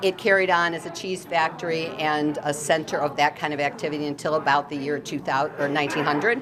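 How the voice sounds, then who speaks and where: Speaking at a very fast pace with hardly any pauses, a woman with an American accent has a very deep, low pitch and fairly even intonation over noticeable background noise. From US Midwest, Monee, Illinois. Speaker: local historical society president. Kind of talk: interview.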